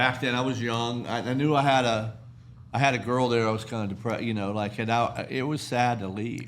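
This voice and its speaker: With an American accent and audible room echo, a man speaks at a moderate pace and medium pitch in a monotone, flat intonation. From Pittsburgh, US. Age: 60s. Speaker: podcast host. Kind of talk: casual chat.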